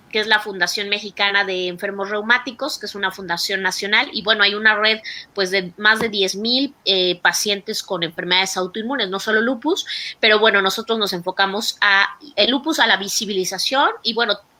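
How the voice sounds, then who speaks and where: Fairly even intonation from a woman, set against noticeable background noise. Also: medium pitch for a woman. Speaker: doctor and patient advocate. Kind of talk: online talk presentation. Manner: fast.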